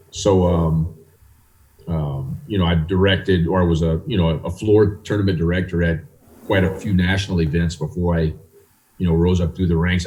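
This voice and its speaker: A man's very deep, low voice at a fairly quick pace, with very even loudness, fairly even intonation and noticeable background noise. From US South, South Louisiana. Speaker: chess federation president. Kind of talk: interview.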